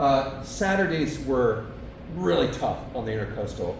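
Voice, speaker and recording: A man with an American accent speaks at a moderate pace amid noticeable background noise and audible room echo. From central Kentucky, then southwest Florida. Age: 60s. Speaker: long-distance kayaker and business founder. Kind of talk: presentation to a club. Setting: club meeting with audience. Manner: casual, hesitant with fillers.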